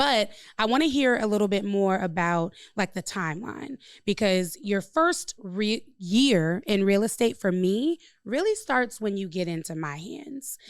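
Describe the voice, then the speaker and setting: Delivered in a plain, everyday voice with an American accent, the speech moves at a fairly slow pace with lively intonation on a very clean recording with a silent background. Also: woman, medium pitch for a woman. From Chicago. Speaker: podcast host, real estate broker and coach. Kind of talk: casual interview chat.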